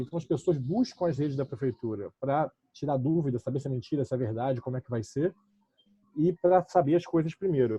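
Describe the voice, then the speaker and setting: A somewhat breathy man with lively intonation. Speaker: municipal communications official. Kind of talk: online panel discussion. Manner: fast.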